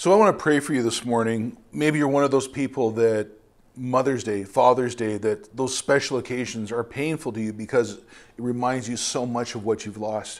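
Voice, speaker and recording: A man with a normal speaking voice talks at a moderate pace and medium pitch, with ordinary pitch variation and big swings in loudness, in a very clean recording with a silent background. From Ontario, Canada. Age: 50s. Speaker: missionary preacher. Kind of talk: sermon. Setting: church.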